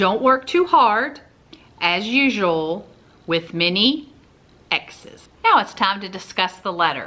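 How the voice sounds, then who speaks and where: In a Southern US accent, a woman speaks at a medium pitch with lively intonation. Her pace is very slow, with long, frequent pauses. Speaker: family vlogger. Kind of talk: casual commentary; reading aloud.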